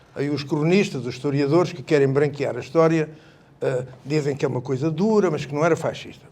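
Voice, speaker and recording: Speaking at a fairly quick pace, a man has a fairly high pitch, a dark, mellow tone and ordinary pitch variation. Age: 70s. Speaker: retired army colonel, revolution veteran. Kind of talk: public panel talk. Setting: public event with audience.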